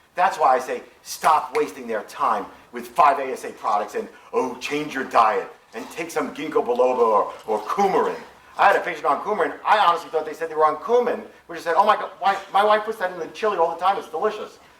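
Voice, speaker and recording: In an animated tone, a man with a high pitch talks at a very fast pace with lively intonation, amid audible room echo and noticeable background noise. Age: 60s. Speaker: physician. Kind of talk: lecture.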